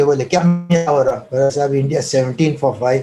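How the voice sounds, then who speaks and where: A man speaks with ordinary pitch variation over music playing in the background. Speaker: former cricket team manager. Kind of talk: interview answer, anecdote. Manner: soft-spoken.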